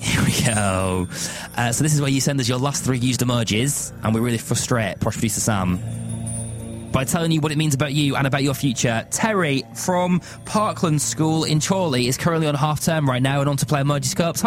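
A man with a Lancashire accent sounds upbeat and energetic, with lively intonation. He talks at a fairly quick pace as music plays in the background. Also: medium pitch for a man, very even loudness. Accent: northern English, Lancashire. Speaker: radio show host. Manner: upbeat, energetic, playful.

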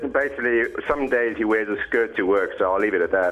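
Over music in the background, a man talks at a fairly quick pace with a South African accent. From Cape Town, South Africa. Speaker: radio show guest, charity bike rider. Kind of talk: casual, jokey.

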